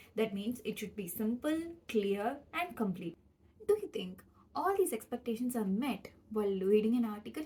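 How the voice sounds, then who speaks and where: A somewhat breathy woman with a Tamil accent speaks in a fairly high pitch with a dark, mellow tone, lively intonation and a moderate pace. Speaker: PhD student vlogger. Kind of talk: educational vlog.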